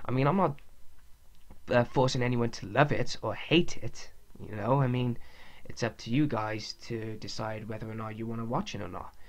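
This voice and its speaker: In a Welsh accent, a man speaks at a moderate pace with a medium pitch, ordinary pitch variation and big swings in loudness. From Wales. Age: 20s. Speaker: podcast host, wrestling fan. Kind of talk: casual monologue podcast. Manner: halting, with pauses and stuttering.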